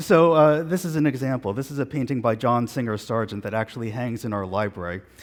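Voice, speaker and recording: In a New York accent, a man speaks at a fairly quick pace in a medium pitch with lively intonation. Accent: New York American. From New York, Long Island. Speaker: physician, professor. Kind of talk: conference lecture.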